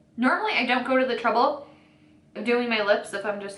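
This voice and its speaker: Through noticeable background noise and audible room echo, a woman speaks at a fairly high pitch and a fairly quick pace, with ordinary pitch variation. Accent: American. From US Midwest, northeastern Ohio. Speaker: beauty YouTuber. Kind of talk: casual chat while doing makeup. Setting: at home. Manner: fast.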